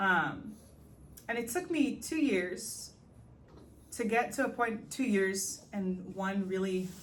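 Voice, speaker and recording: Over audible room echo, a woman with a medium pitch speaks at a very slow pace, somewhat breathy, with lively intonation and long, frequent pauses. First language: not English. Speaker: podcast host. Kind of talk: personal reflective monologue. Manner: hesitant, many fillers.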